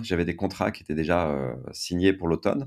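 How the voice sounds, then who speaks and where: The man's pitch varies in a normal way, captured in a very clean recording against a silent background. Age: 50s. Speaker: writer and entrepreneur. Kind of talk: testimony.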